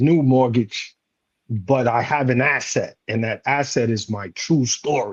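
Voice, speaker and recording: Here is a plain, everyday voice at a fairly slow pace with ordinary pitch variation. The loudness swings a lot. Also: man, medium pitch for a man. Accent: American. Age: 40s. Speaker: leadership coach and retired Marine. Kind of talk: panel discussion.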